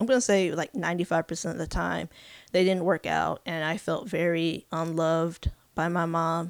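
A woman speaks at fairly low pitch with fairly even intonation. The recording is very clean, the background silent. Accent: American. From California. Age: 30s. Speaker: podcast host, mental health activist. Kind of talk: personal storytelling monologue. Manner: hesitant, many fillers.

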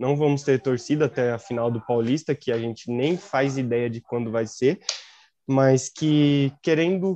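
Dry and close with no echo, a man's dark, mellow voice sits at a fairly high pitch. He keeps a moderate pace and ordinary pitch variation. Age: 20s. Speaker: journalism student and football podcast co-host. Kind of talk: casual football discussion podcast.

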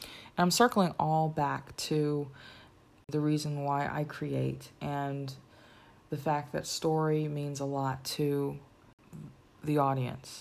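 A woman speaks with a very deep, low pitch and fairly even intonation. Her pace is very slow, with long, frequent pauses. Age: 30s. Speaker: podcast host and filmmaker. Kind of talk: solo podcast monologue. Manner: casual, conversational.

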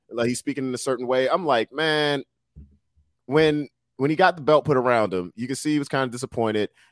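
Spoken at a fairly quick pace with ordinary pitch variation, the voice sounds dry and close, with no echo. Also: man. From Washington DC area, US. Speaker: rapper and co-host guest. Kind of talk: casual chat. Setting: video call.

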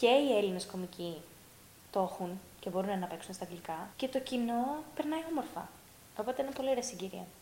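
Noticeable background noise sits behind a woman speaking at medium pitch. Her intonation is lively. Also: moderate pace. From Greece, raised largely abroad (Russia, Norway). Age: 30s. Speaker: stand-up comedian. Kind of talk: casual chat.

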